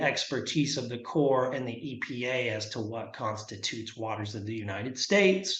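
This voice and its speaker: The man's voice sits at a medium pitch with ordinary pitch variation. He speaks at a moderate pace, with audible room echo. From Arkansas. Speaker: environmental lawyer. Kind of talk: presentation. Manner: halting, many fillers.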